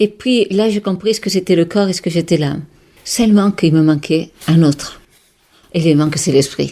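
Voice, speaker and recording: With a Catalan accent, a woman talks at a moderate pace with long, frequent pauses. Her voice has a fairly low pitch and a dark, mellow tone. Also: ordinary pitch variation. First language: Catalan (speaking French). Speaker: holistic therapist and author. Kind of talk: radio interview. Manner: animated; halting.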